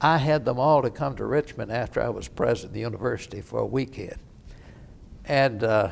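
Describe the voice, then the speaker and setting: Speaking at a fairly quick pace, a man with a medium pitch lets vocal fry creep into his voice. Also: ordinary pitch variation. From Kentucky (Oldham County). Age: 80s+. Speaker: war veteran. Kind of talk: oral history interview.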